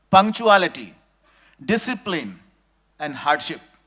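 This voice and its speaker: Here a man speaks at a fairly slow pace and a high pitch. His tone is bright and sharp, with ordinary pitch variation. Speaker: industry executive giving guest speech. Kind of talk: ceremonial speech to students. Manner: slow, deliberate.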